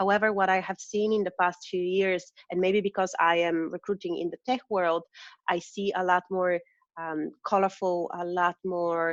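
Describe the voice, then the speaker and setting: Against a quiet background, a speaker with a non-native accent talks at a moderate pace in a monotone, flat way, the sound dry and close with no echo. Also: woman, medium pitch for a woman. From Eastern Europe. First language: not English. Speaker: recruiter. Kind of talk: interview.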